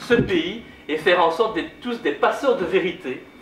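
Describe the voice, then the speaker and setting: Noticeable background noise and audible room echo surround the recording. A man speaks with lively intonation. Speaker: politician. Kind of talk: public lecture. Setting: conference hall with audience. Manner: loud.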